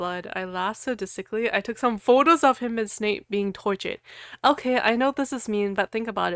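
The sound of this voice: In an unforced reading voice, the pitch shifts in an ordinary way.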